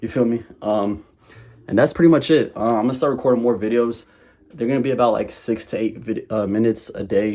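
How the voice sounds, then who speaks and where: A dark, mellow voice in an American accent, fairly quick in pace, with ordinary pitch variation and a quiet background. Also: man, medium pitch for a man. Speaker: e-commerce vlogger. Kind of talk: casual vlog. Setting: bedroom at home. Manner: choppy, halting; stuttering a little.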